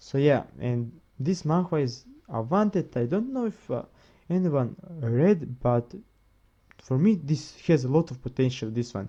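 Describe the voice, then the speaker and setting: A man speaks fairly slowly with a non-native accent and lively intonation. His tone is dark and mellow. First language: not English. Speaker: manga reviewer, video creator. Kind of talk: casual video review. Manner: halting, many repetitions and self-corrections.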